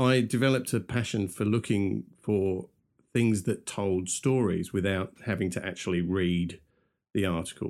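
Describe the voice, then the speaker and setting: On a very clean recording with a silent background, a man with a London accent speaks at a fairly low pitch. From London, England. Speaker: podcast co-host, media professional. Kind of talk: casual chat.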